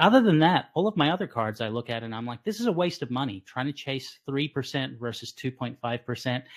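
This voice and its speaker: A man with a plain, everyday voice speaks at a medium pitch and a moderate pace, his intonation lively and hardly any pauses breaking his speech. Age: 40s. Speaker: physician podcast host. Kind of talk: casual interview.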